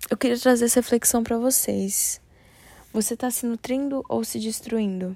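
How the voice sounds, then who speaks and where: An ordinary speaking voice moves at a moderate pace in a very clean recording with a silent background. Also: woman. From Brasília, Brazil. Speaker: podcaster. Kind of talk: solo reflective monologue.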